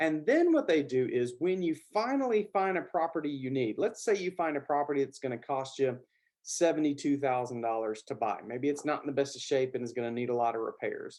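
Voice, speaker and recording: In a Southern US accent, this voice moves at a fairly quick pace with lively intonation and hardly any pauses. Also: man, fairly high pitch for a man. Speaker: business finance educator. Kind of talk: tutorial. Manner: casual, with filler words.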